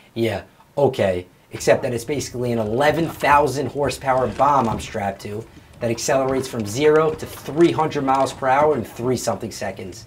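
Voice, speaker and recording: A man with a mid-range pitch talks at an even, moderate speed, his pitch moving in a normal way, while noticeable noise runs behind him. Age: 20s. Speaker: drag racer and house flipper. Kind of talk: scripted narration.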